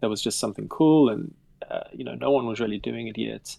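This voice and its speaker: Speaking at a fairly quick pace, a man has a South African accent. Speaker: game developer. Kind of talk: casual chat.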